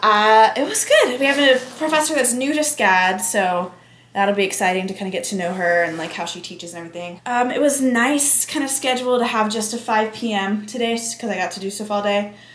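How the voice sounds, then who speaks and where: With lively intonation and big swings in loudness, a woman with a fairly high pitch talks at a fairly quick pace with hardly any pauses, amid audible room echo and noticeable background noise. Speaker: student vlogger. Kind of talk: casual vlog.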